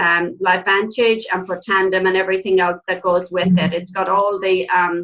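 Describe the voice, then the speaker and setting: Speaking in an Irish accent, a woman keeps a medium pitch and a moderate pace. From Ireland. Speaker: nurse and network marketing team trainer. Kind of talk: online team training presentation.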